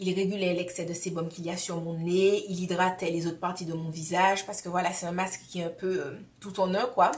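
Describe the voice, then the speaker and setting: Fairly quick and with hardly any pauses, a woman speaks at a medium pitch in a monotone, flat voice over noticeable background noise. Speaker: beauty vlogger. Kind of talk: tutorial.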